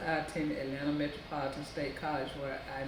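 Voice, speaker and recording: A woman with an American accent speaks at a fairly quick pace in a very deep, low pitch with monotone, flat intonation. Audible room echo and noticeable background noise surround her voice. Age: 60s. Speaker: college graduate. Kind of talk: interview. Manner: halting, many fillers.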